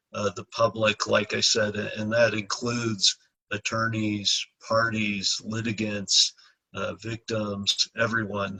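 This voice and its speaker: A man speaks softly at a fairly slow pace, his pitch fairly low. His intonation is flat and monotone, and the sound is dry and close with no echo. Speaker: judge. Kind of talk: candidate town hall answer. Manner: soft-spoken.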